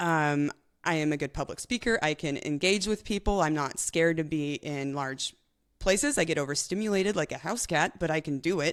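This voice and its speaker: This woman has a very deep, low voice. The recording is very clean, with a silent background. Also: ordinary pitch variation. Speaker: professional cyclist. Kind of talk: interview. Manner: fast; chatty.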